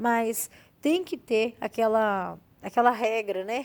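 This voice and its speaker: A woman talks at a very slow pace, her pitch fairly high. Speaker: gardening youtuber. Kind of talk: tutorial. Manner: casual.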